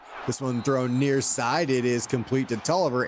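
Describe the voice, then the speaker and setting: There is noticeable background noise behind this man's speech. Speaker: play-by-play commentator. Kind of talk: live commentary.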